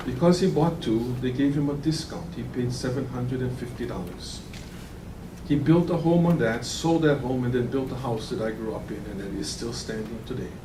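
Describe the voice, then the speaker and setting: Amid noticeable background noise and audible room echo, a man with a Hawaiian accent speaks at a moderate pace and medium pitch with ordinary pitch variation. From Hawaii (Kauai). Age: 60s. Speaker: land use commissioner. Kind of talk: public hearing deliberation statement. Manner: formal.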